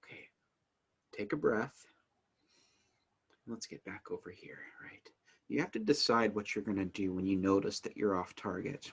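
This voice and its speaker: A man speaks at a moderate pace with long, frequent pauses and big swings in loudness. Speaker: family advocacy educator. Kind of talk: instructional talk to camera. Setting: recorded video to camera. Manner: rate rises and falls.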